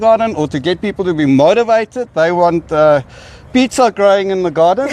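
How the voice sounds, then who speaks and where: A man speaks in a high voice with a South African accent. His pitch rises and falls in an ordinary way. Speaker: nonprofit housing director. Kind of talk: speech at community event. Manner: halting, many fillers.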